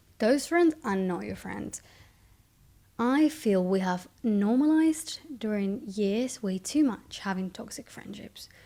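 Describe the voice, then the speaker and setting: Someone with a Spanish accent talks at a very slow pace in a somewhat breathy, dark, mellow tone with big swings in loudness, on a very clean recording with a silent background. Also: woman, fairly high pitch for a woman, lively intonation. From Spain. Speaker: vlogger. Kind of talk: casual monologue.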